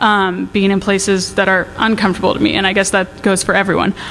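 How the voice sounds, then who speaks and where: A woman speaks with an American accent over noticeable background noise. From US Northwest. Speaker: college student speaker. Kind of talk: inspirational talk. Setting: stage with audience. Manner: loud; casual, rambling with fillers.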